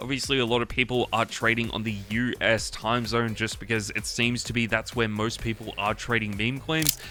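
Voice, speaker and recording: A man with an Australian accent, medium pitch and monotone, flat intonation, at a moderate pace with hardly any pauses, over noticeable background noise. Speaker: crypto trading YouTuber. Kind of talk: tutorial. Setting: home studio room.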